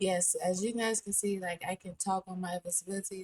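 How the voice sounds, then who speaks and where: The voice is somewhat breathy, with fairly even intonation, at a fairly slow pace. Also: woman. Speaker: VTuber and gaming streamer. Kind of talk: casual gaming commentary. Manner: hesitant, filler words.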